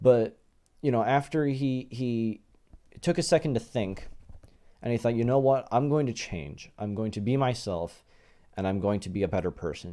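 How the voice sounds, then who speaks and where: A man with a medium pitch and a dark, mellow tone speaks at a moderate pace with lively intonation. His long, frequent pauses sit on a very clean recording with a silent background. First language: not English. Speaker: YouTuber. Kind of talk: casual vlog commentary. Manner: hesitant, many fillers.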